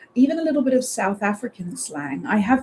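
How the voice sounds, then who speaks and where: A woman's fairly quick, fairly high-pitched speech with very wide pitch swings, over noticeable background noise. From South Africa. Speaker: radio presenter. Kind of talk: live radio show presenting. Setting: studio. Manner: upbeat, light-hearted.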